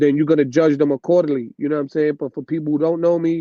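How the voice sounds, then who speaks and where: The voice has a New York accent and a monotone, flat intonation. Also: man. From New York City. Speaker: DJ. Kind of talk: casual chat. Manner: loud.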